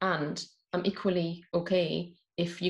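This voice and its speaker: With a northeast English accent, a woman talks in a somewhat breathy voice of fairly low pitch. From northeast England. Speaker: mystic and mindfulness coach. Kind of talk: interview.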